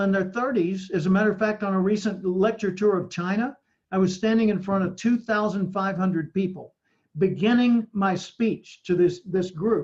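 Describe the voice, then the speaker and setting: A man with a high pitch and an American accent, at a moderate pace. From US South (Arkansas, Little Rock). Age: 70s. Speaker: professional speaker. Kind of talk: podcast interview.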